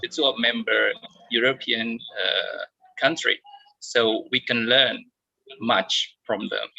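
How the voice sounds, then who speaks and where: In an Indonesian accent, the speaker goes at a very slow pace with long, frequent pauses. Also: man. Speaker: discussion moderator. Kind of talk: online panel discussion.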